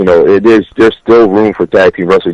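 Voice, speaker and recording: A man speaks in a fairly low, monotone voice with flat intonation. The sound is dry and close, with no echo. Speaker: professional wrestler. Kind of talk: interview answer.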